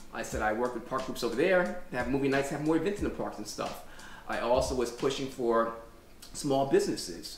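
A man talks at a fairly quick pace with ordinary pitch variation, with audible room echo and light background noise in the recording. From New York City. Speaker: Airbnb owner and local political candidate. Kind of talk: interview conversation. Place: home room. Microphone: camera far.

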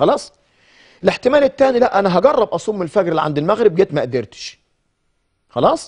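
A man with an Egyptian accent speaks at a fairly quick pace and a high pitch, with very wide pitch swings and long, frequent pauses. The background is quiet. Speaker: Islamic scholar; guest. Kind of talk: Quran commentary on TV. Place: studio. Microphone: lapel.

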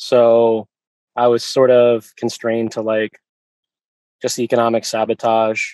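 A man with an American accent talks in a monotone, flat intonation. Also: dry, close sound with no echo. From Virginia Beach, US. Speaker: animal rights activist. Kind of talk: interview.

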